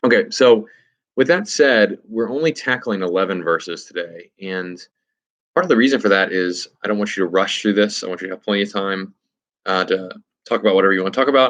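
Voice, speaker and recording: At a fairly quick pace, a man speaks in a fairly low pitch with ordinary pitch variation. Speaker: Bible study leader. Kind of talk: tutorial. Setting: at home. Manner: fast; casual, hesitant with fillers.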